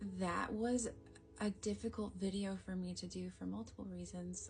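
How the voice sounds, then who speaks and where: Fairly slow speech over music in the background. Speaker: energy healer. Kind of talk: casual talk to camera.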